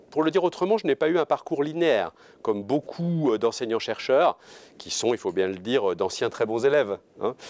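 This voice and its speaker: Very wide pitch swings mark this fairly quick voice, in a very clean recording with a silent background and a dry, close sound with no echo. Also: man, fairly high pitch for a man. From France, Orléans. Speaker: law professor. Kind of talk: interview. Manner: hesitant, many fillers.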